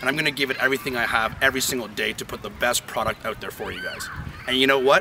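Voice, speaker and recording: A man at a very fast pace, loudness swinging widely, with noticeable background noise. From Canada. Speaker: sportscaster hopeful. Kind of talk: sportscaster audition to camera. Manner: upbeat, entertaining. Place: open country. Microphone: camera far.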